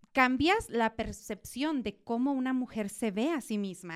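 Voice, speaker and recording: With an unremarkable speaking voice, a woman talks fairly slowly in a fairly high pitch, her pitch varying in an ordinary way. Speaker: podcast host. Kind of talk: interview conversation.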